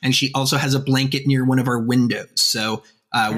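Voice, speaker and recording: A man is speaking. His tone is bright and sharp. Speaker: podcast co-host. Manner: conversational, some hesitations.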